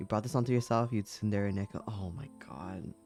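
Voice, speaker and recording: Soft-spoken, a man uses a fairly low pitch and ordinary pitch variation while music plays in the background. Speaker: streamer. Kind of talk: casual talk to camera.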